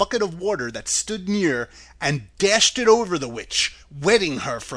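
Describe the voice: The speaker does plain reading aloud.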